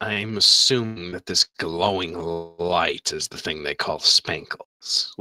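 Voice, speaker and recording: Using a put-on character voice, a man speaks at a very deep, low pitch. The pace is fairly slow. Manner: creature voice.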